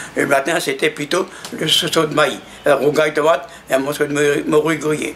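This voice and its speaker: Over noticeable background noise, a man with a fairly high pitch speaks at a moderate pace in a monotone, flat intonation. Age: 90s. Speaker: elderly witness. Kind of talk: testimony. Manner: halting.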